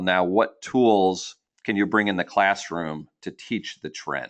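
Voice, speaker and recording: A man with an American accent, a plain, everyday voice, and a fairly low pitch, at a fairly slow pace against a quiet background. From New Jersey. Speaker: nonprofit founder and personal finance educator. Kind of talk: educational webinar presentation. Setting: webinar, broadcast online.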